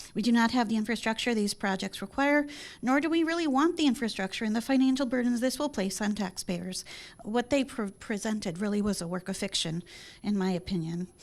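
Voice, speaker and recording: Speaking with an American accent, a woman talks at a fairly quick pace with a fairly high pitch and lively intonation. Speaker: public commenter. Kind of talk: public hearing statement. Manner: fast.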